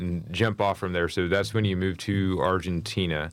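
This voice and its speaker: A man with a fairly low pitch speaks at a moderate pace, in an unremarkable speaking voice. The recording is very clean, with a silent background. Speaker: podcast host and company employee. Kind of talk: casual interview.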